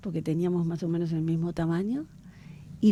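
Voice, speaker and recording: On a very clean recording with a silent background, a woman with a dark, mellow tone and fairly low pitch speaks at a very fast pace. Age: 60s. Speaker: government official, historian. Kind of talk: radio interview.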